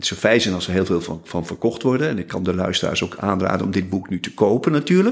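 A man's very deep, low voice at a very fast pace, ordinary pitch variation and hardly any pauses. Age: 70s. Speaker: musician and author. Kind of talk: interview.

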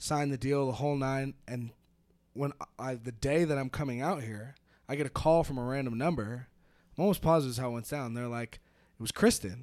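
Speaking at a fairly quick pace but with long, frequent pauses, a man of medium pitch shows ordinary pitch variation. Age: 20s. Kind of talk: casual chat. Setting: remote call.

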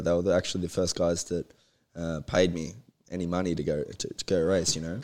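Here a man speaks with an Australian accent. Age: 20s. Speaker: motocross racer. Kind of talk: casual interview chat.

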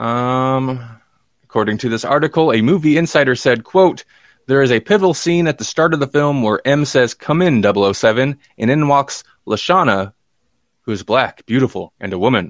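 With a plain, everyday voice, a man speaks at a medium pitch and a moderate pace with lively intonation, in a very clean recording with a silent background and a dry, close sound with no echo. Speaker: podcast host. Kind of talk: casual livestream chat about movie news. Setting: live stream with chat comments.

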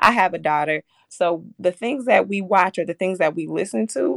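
A woman with vocal fry and an American accent, in a dry, close sound with no echo. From Minneapolis north side, Minnesota. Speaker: early childhood program worker. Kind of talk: radio interview.

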